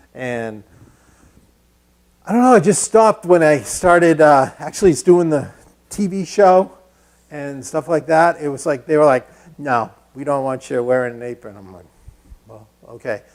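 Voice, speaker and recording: Speaking with a Massachusetts accent, a man with a fairly high pitch moves at a moderate pace, using lively intonation, big swings in loudness, and long, frequent pauses. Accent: Lowell, Massachusetts. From New England (Lowell, Massachusetts). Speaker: woodworking instructor. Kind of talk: live-streamed tutorial. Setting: woodworking shop, live stream. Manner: casual, conversational.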